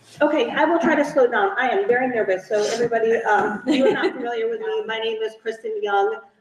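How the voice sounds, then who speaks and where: With hardly any pauses, a woman races along at a very fast pace in a high pitch with lively intonation over noticeable background noise. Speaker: task force chair. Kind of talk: public meeting chairing. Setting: meeting room, poor acoustics. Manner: quiet.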